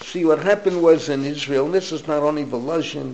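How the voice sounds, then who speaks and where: A man with an American accent, a fairly high pitch and ordinary pitch variation, with noticeable background noise. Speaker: rabbi. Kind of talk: lecture.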